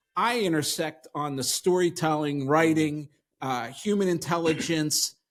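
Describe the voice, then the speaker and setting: Fairly high-pitched for a man, this male voice shows ordinary pitch variation and moves at a fairly slow pace. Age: 60s. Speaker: podcast host. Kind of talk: interview. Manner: animated.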